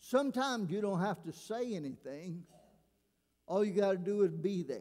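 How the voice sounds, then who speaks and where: Here a man speaks at a fairly slow pace in a dark, mellow tone. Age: 70s. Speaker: retired pastor. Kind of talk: sermon. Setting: church.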